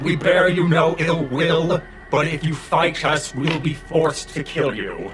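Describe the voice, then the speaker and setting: A man's put-on character voice, fairly high in pitch and fairly slow, against clear background noise. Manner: trembling, unsteady.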